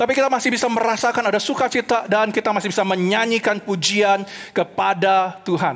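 Against a quiet background, a man talks at a fairly quick pace in an animated tone. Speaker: preacher. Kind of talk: sermon delivered online to a church congregation. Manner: animated, earnest preaching that switches between Indonesian and English; rhetorical questions and repeated emphasis. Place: stage. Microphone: headset.

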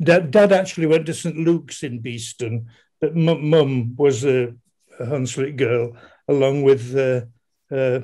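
Very slowly, a man with a Yorkshire accent speaks in a fairly high-pitched, dark, mellow voice with ordinary pitch variation. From Leeds, Yorkshire. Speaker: audience member. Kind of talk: reminiscence. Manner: halting.

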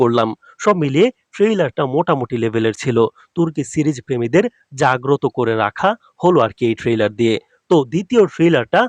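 In a dry, close recording with no echo, a man speaks with very wide pitch swings. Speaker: YouTube drama trailer analyst. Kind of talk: commentary on a TV trailer with comment replies.

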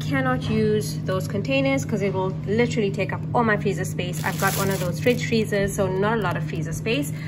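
Music plays in the background as a woman speaks. She goes at a fairly quick pace with hardly any pauses. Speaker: home vlogger. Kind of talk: casual vlog chat. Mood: upbeat, excited. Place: kitchen. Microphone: phone near.

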